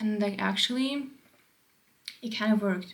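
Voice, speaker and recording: A woman with a non-native accent speaks at a medium pitch and a moderate pace. Audible room echo surrounds her voice. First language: not English. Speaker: vlogger. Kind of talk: casual monologue. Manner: rambling with many fillers.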